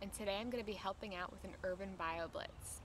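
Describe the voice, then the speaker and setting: A woman with a medium pitch and an upbeat tone speaks at a fairly quick pace against noticeable background noise. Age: 20s. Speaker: science host applicant, biologist. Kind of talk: TV science host presentation.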